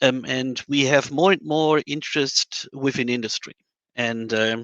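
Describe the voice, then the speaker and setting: A man speaks with a German accent at medium pitch. His tone is bright and sharp, and the sound is dry and close with no echo. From Germany. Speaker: modeling and simulation scientist. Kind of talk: panel discussion. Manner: hesitant, many fillers.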